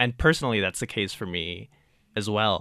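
A man's fairly low voice with ordinary pitch variation and a bright, sharp tone, dry and close with no echo, on a very clean recording with a silent background. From Puerto Rico (San Juan). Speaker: voting rights activist. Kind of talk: radio interview. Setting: studio.

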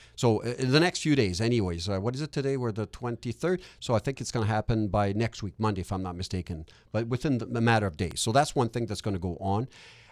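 Speaking very fast in a Quebec accent, a man uses an animated tone and lively intonation at a medium pitch. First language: French. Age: 50s. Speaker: real estate investor and educator. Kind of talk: podcast interview. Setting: studio.

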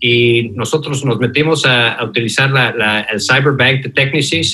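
Bright and sharp in tone, a man with an English accent speaks at medium pitch with fairly even intonation. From Mexico City. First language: English (speaking Spanish). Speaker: fintech founder and former CEO. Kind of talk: interview. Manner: halting, many fillers.

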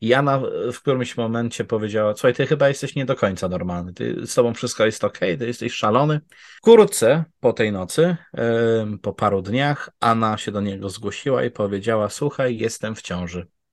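A man's medium-pitched voice at a fairly quick pace, with ordinary pitch variation and a quiet background. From Poland. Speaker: true crime researcher. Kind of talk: storytelling conversation. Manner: fluent.

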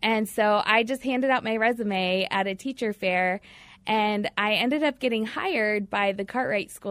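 A woman with an American accent speaks at a moderate pace in a fairly high pitch with ordinary pitch variation. She has a normal speaking voice. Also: very clean recording, silent background. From US Midwest (Batesville, Indiana). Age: 30s. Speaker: youth ministry worker. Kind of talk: radio interview. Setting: studio.

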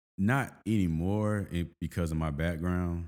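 A man with an American accent speaks in a relaxed tone at a fairly slow pace. His pitch is very deep and low, with ordinary variation. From US military family, grew up in several states, mainly Georgia. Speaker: personal development strategist, social worker. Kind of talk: casual interview. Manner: relaxed, conversational.

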